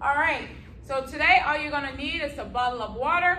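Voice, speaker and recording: A woman is speaking with light background noise. Room echo is audible around her voice. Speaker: fitness instructor. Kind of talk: workout class instruction. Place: gym. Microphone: camera far.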